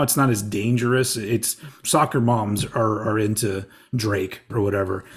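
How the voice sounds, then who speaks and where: Somewhat breathy male speech in a very clean recording with a silent background. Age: 40s. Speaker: podcaster and radio host. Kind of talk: casual chat.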